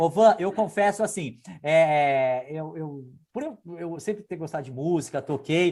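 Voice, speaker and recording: In an unremarkable speaking voice with a fairly high pitch, a man talks at a fairly slow pace with ordinary pitch variation over a quiet background. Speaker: lawyer. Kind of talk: interview.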